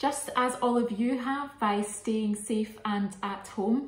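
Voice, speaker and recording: A woman at a very slow pace, with audible room echo. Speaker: arts activity host. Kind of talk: casual craft tutorial chat. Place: kitchen. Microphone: phone near.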